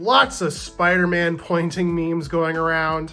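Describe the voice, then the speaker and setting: A man talks loudly at a moderate pace. Music plays in the background. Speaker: playing card reviewer. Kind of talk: product review and unboxing. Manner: animated.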